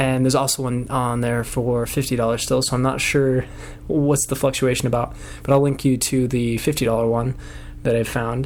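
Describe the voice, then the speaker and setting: A man talks with monotone, flat intonation. Noticeable background noise sits behind him. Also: medium pitch for a man, moderate pace. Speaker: product reviewer. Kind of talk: product review. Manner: quiet, not loud; casual with many fillers.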